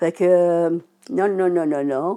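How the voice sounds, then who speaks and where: With a dark, mellow tone, a woman speaks in a fairly low pitch using ordinary pitch variation. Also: very clean recording, silent background. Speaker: adult learner with low literacy. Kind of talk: personal testimony. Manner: halting.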